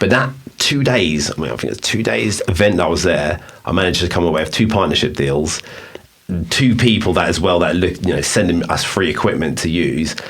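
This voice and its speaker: Someone with an English accent talks at a fairly quick pace with lively intonation, amid noticeable background noise and audible room echo. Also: man, very deep, low pitch for a man. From England. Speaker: podcast host and business owner. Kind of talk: casual chat.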